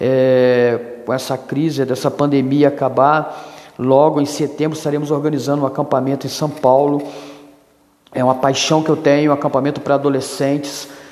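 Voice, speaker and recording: Keeping a monotone, flat intonation, a man with a fairly high voice speaks at a moderate pace. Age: 50s. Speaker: youth pastor. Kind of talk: solo podcast monologue.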